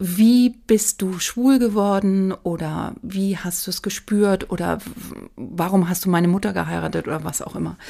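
At a moderate pace, a woman of medium pitch speaks in a dark, mellow tone with ordinary pitch variation, in a very clean recording with a silent background. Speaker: make-up artist. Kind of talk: casual chat.

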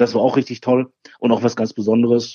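A plain, everyday voice at a fairly quick pace. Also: man. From Ruhr area, Germany (Bochum). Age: 40s. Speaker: barbecue champion and grill expert. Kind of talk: interview.

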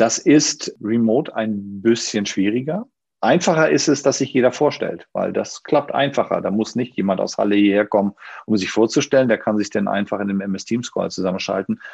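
A plain, everyday voice from a man, medium in pitch, at a moderate pace with ordinary pitch variation. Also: quiet background. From northern Germany, Schleswig-Holstein. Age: 50s. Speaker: managing director of a banking consultancy. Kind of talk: online panel discussion.

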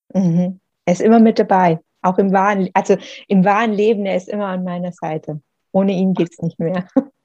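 In a dry, close sound with no echo, a woman with a dark, mellow tone talks at medium pitch and a fairly quick pace, her intonation monotone and flat but with big swings in loudness. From Swabian Jura, southern Germany. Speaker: author. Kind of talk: interview.

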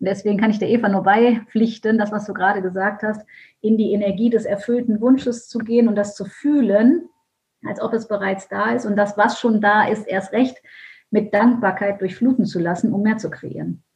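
Somewhat breathy, a woman speaks in a fairly high pitch at a moderate pace with fairly even intonation. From Germany, Düsseldorf. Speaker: mindset and business coach. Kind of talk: podcast interview.

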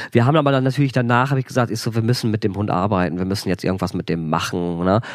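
A man at medium pitch speaks at a very fast pace with ordinary pitch variation. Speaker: author and former animal shelter manager. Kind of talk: casual storytelling interview. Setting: indoors by a wood stove. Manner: lively.

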